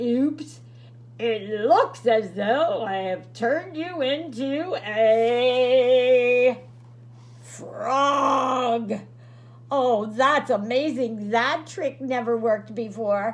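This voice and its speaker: Using a put-on character voice, a woman talks at a very slow pace in a high pitch over light background noise. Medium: read story. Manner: theatrical, bumbling.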